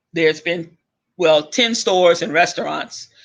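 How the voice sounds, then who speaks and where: A man shouts loudly in a high-pitched voice. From Louisiana. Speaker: online talk show host. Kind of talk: casual rant monologue. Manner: loud, yelling; animated.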